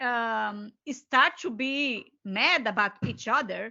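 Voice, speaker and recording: A woman speaks very slowly with a Brazilian Portuguese accent. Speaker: co-author and educator. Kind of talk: seminar discussion. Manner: halting, searching for words.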